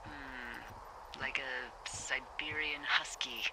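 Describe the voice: In a put-on character voice, a woman speaks very slowly at an extremely low pitch, with vocal fry and fairly even intonation.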